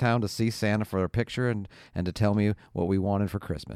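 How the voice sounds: A natural reading voice comes with fairly even intonation.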